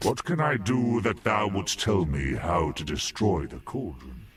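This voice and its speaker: A man's put-on character voice, very deep and low, at a moderate pace with very wide pitch swings. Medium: video game. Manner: earnest, archaic thee-and-thou phrasing.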